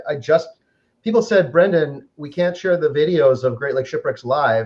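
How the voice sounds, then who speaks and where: Talking at a very fast pace, a man with an American accent uses a high pitch and ordinary pitch variation. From Upper Michigan. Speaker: online group administrator and host. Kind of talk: interview. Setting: home kitchen, live stream.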